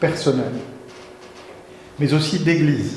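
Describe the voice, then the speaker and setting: Against noticeable background noise and audible room echo, a man speaks at a high pitch. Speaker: guest preacher. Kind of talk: sermon.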